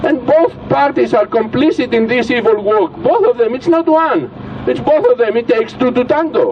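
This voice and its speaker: A man speaks at a moderate pace with very wide pitch swings. Noticeable background noise can be heard. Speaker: political speaker. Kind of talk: rally speech. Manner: animated.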